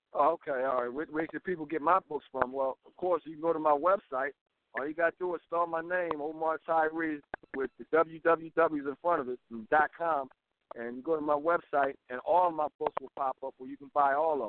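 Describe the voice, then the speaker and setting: A man with an unremarkable speaking voice talks at a moderate pace and fairly high pitch, intonation fairly even but loudness swinging widely. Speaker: author. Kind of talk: radio interview.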